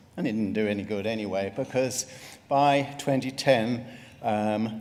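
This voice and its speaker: This man's pitch moves in an ordinary way. His delivery keeps a moderate pace. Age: 60s. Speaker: retired GP and melanoma patient. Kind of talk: patient testimony talk.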